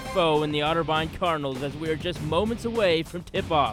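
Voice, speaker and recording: A man speaks at a fairly quick pace in a high voice. Music plays in the background. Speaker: sports play-by-play announcer. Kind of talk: game intro, scene-setting broadcast opening.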